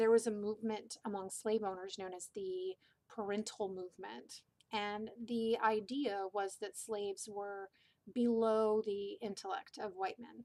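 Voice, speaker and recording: A woman's medium-pitched voice with a dark, mellow tone, monotone, flat intonation, big swings in loudness and a fairly slow pace. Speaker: teacher. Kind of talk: lecture. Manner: stutter; reading from pre-typed notes.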